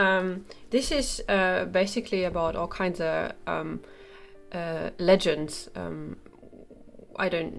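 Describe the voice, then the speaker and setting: Her voice fairly low for a woman, she speaks with vocal fry and ordinary pitch variation. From Germany. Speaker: coloring book reviewer. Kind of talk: product review. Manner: hesitant, many fillers.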